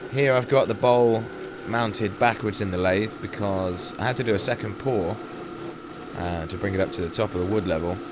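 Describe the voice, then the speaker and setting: A fairly low-pitched man's voice at a moderate pace, with ordinary pitch variation, against noticeable background noise. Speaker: woodturner. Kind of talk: tutorial.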